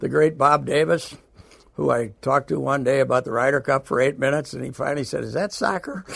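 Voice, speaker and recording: A man's very fast speech marked by vocal fry. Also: medium pitch for a man, ordinary pitch variation. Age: 70s. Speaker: veteran sports radio host. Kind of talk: interview.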